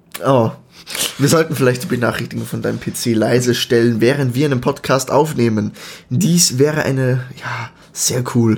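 Medium-pitched male voice at a moderate pace, fairly even intonation, noticeable background noise. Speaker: podcast co-host. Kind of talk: casual chat.

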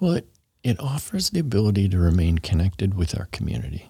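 A somewhat breathy man in a very clean recording with a silent background and a dry, close sound with no echo. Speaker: city transportation planning official. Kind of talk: casual interview.

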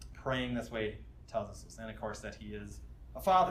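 Audible room echo around a man's fairly quick pace. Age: 30s. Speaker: campus minister teaching a Bible study. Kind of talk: sermon. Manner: casual with frequent fillers.

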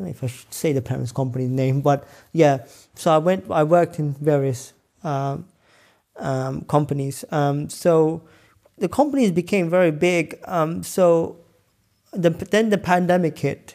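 A man's fairly high, dark, mellow voice in a London accent, fairly slow, with ordinary pitch variation, on a very clean recording with a silent background. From northwest London. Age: 30s. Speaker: scientist and entrepreneur. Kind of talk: interview conversation.

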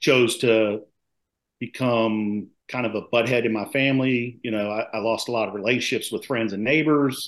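Delivered at a moderate pace with fairly even intonation, this is a normal speaking voice with an American accent. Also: man, medium pitch for a man. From Maryland, US. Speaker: retired police officer, nonprofit founder. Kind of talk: interview testimony.

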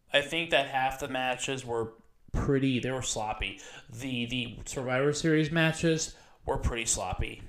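This man has an unremarkable speaking voice, medium in pitch with ordinary pitch variation, delivered at a moderate pace. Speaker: wrestling podcast co-host. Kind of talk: casual banter and wrestling opinion.

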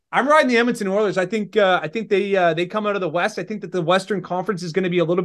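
Very fast speech in a Maritime Canadian accent, ordinary pitch variation, quiet background. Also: man. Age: 20s. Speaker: hockey content creator. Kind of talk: casual interview. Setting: remote call.

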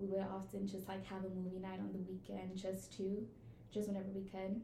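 A woman with an American accent talks at a moderate speed while noticeable background noise goes on. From Houston, Texas. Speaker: college student. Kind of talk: casual interview chat.

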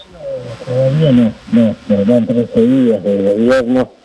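Noticeable background noise sits behind a man at medium pitch. His intonation is fairly even and his pace very slow. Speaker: union leader. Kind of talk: interview.

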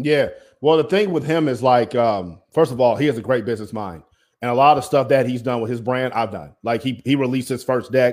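An unremarkable speaking voice from a man, medium-pitched with ordinary variation and a fairly quick pace, in a very clean recording with a silent background. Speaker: media entrepreneur. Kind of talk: casual interview chat.

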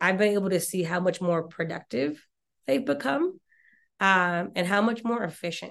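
A woman in a normal speaking voice with an American accent, medium in pitch, with ordinary pitch variation, at a moderate pace against a quiet background. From Mississippi, US South. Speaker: talent acquisition executive. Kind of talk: casual interview.

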